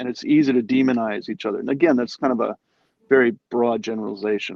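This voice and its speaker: A man with an ordinary speaking voice, ordinary pitch variation and an American accent. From New York City. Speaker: guest on a live stream. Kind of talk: casual conversation.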